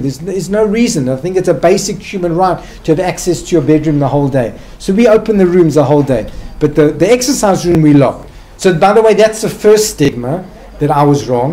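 A man with a South African accent talks at a very fast pace. His voice is high, with lively intonation. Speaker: psychiatrist and hospital director; guest lecturer. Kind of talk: lecture. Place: hall.

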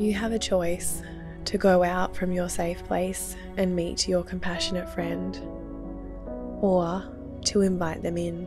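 With an Australian accent, a woman speaks in a calm tone at a fairly slow pace, pausing long and often. Music plays in the background. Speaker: therapist, meditation guide. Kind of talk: guided meditation. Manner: calm, soft-spoken.

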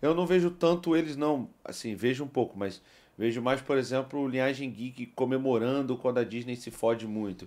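A man is talking here. His pace is moderate, and his pitch shows ordinary variation. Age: 40s. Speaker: podcast host. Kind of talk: casual chat. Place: studio. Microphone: studio mic.

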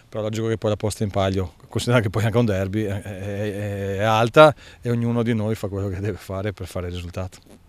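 A man talking at a very fast pace, his pitch fairly low. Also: dry sound with no echo. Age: 50s. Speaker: football coach. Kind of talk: press interview. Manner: halting, many fillers. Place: garden. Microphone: handheld.

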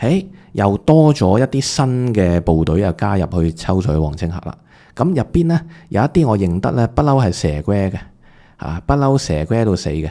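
A man's fairly low, dark, mellow voice with very wide pitch swings, a moderate pace and a quiet background. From Hong Kong. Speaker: entertainment gossip commentator; online commentator. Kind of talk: video commentary monologue; commentary. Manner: casual with many filler words. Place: home room. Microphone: studio mic.

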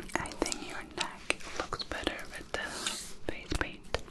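Very slowly and softly, a woman speaks in a whisper. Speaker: ASMR creator. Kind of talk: soft personal-attention roleplay chat. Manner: soft close-mic ASMR whisper. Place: home room.

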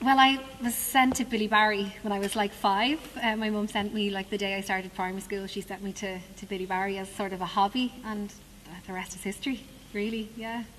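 A woman with an Irish accent, fairly even intonation and a fairly quick pace, against noticeable background noise. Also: medium pitch for a woman. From Dublin, Ireland. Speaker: musical theatre actress. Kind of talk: interview. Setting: theatre stage.

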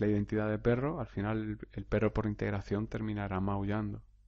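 Monotone, flat intonation from a man at a fairly low pitch. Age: 30s. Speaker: hypnotherapist podcaster. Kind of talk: solo podcast monologue. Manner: hesitant, repeats words.

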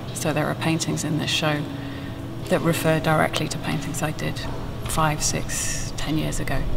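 A woman speaks at a moderate pace. Noticeable background noise runs underneath. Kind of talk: interview answer. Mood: reflective, slightly emotional.

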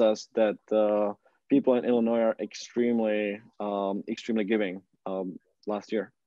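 Against a quiet background with dry sound and no echo, a man with a normal speaking voice talks at a medium pitch and a moderate pace. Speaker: nonprofit fundraising platform executive. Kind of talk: interview. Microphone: video call.

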